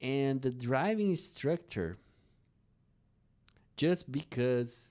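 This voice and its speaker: Speaking very slowly with a non-native accent, a man keeps his intonation lively. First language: not English. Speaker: English teacher. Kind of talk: slow English storytelling for learners.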